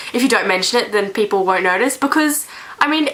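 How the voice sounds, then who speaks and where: A woman's voice over noticeable background noise. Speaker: vlogger. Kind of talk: casual vlog monologue. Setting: bedroom. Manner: rambling, hesitant.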